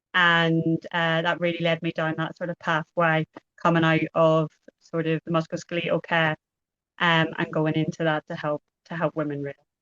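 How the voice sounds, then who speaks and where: A woman speaks with an Irish accent. Her intonation is monotone and flat. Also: fairly low pitch for a woman. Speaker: pelvic health physiotherapist. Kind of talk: podcast interview. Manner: deliberately slowed down.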